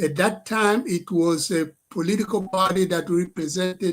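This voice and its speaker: A man talks at a very slow pace. His pitch is high, and his intonation stays fairly even. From DR Congo. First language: French. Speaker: professor and political activist. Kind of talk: political address to live stream audience. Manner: halting, with many fillers.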